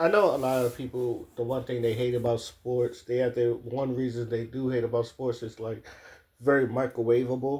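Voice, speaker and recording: A man with an American accent speaks at a medium pitch and moderate pace. His voice is somewhat breathy with a dark, mellow tone and flat, monotone intonation. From Maryland, US. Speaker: sports commentator. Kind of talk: casual monologue.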